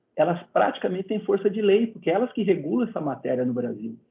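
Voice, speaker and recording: The pitch of this man's voice swings very widely. He talks fairly quickly. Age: 60s. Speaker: medical council president and physician. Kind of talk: interview.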